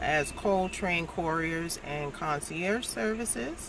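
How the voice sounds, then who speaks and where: A woman with an American accent speaking at a very slow pace, with noticeable background noise and audible room echo. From New York City (the Bronx). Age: 50s. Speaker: travel vlogger and small business owner. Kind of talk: casual vlog talk to camera. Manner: conversational with many fillers (uh, um).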